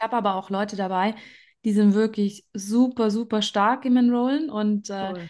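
In an ordinary speaking voice, a woman talks at a moderate pace with a fairly high pitch and fairly even intonation against a quiet background. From Germany. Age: 30s. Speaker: network marketing leader, trained nurse. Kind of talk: interview.

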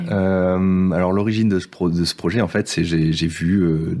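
Noticeable background noise accompanies a man with a very deep, low voice and ordinary pitch variation speaking at a fairly slow pace. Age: 30s. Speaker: former IT project manager living on a sailboat. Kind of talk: casual interview.

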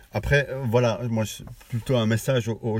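A somewhat breathy quality marks this voice. The speaker is a man. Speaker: podcast host. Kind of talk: casual chat. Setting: in a car. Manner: halting.

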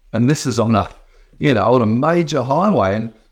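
A man with an Australian accent, medium pitch and lively intonation. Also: very clean recording, silent background. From rural Western Australia. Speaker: state politician. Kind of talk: live stream talk and Q&A. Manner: halting, many fillers.

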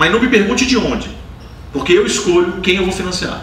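The speech moves at a fairly quick pace over noticeable background noise, with audible room echo. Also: man. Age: 30s. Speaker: angel investor. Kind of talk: live onstage interview. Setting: stage with audience.

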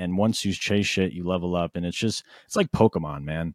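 Recorded very cleanly against a silent background, with a dry, close sound and no echo, a man speaks at a fairly quick pace with a very deep, low pitch and ordinary pitch variation. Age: 20s. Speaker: rapper and music producer. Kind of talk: casual chat.

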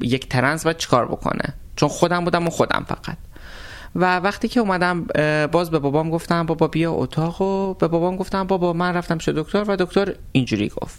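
A woman talks in an unremarkable speaking voice at a fairly low pitch, with lively intonation and a fairly quick pace. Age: 30s. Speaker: cook and transgender interviewee. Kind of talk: interview.

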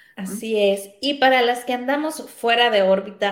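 At a fairly slow pace, a woman speaks with ordinary pitch variation and audible room echo. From Mexico, Sinaloa. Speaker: radio host. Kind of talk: casual interview.

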